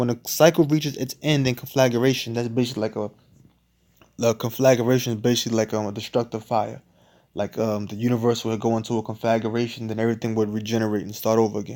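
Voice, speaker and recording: In a very clean recording with a silent background, a man with a medium pitch and a dark, mellow tone speaks at a very fast pace with fairly even intonation. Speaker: Bible teacher. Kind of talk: teaching lesson reading from text.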